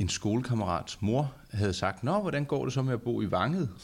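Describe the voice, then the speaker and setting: Lively intonation marks this man's medium-pitched voice. He is somewhat breathy and keeps a moderate pace. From Charlottenlund, north of Copenhagen, Denmark. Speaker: podcast host. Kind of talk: casual chat. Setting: studio.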